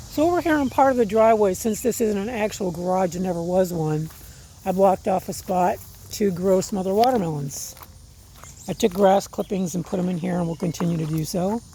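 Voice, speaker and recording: A woman talks at a fairly quick pace with a medium pitch. She has an ordinary speaking voice with ordinary pitch variation. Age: 60s. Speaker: gardening vlogger. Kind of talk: casual vlog walkthrough. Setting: outdoors. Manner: relaxed, conversational with fillers.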